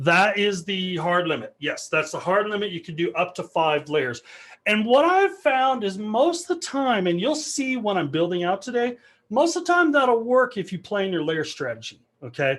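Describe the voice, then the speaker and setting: Against a quiet background, a man speaks at a high pitch with very wide pitch swings. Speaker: developer advocate giving a tech talk. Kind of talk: technical talk with live demo. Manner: fast; casual, filler-heavy.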